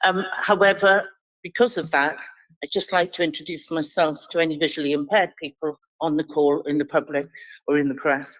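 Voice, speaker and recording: A woman speaks at a fairly quick pace in a very deep, low pitch, with ordinary pitch variation and a dry, close sound with no echo. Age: 60s. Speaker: charity chief executive. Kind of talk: committee presentation.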